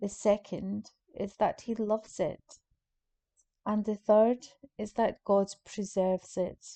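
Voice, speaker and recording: Her calm, dark, mellow tone set at a medium pitch, a woman speaks at a very slow pace with monotone, flat intonation and long, frequent pauses. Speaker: prayer guide leading a Lenten group. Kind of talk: guided meditation. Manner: slow, calm, soft-spoken, with long pauses.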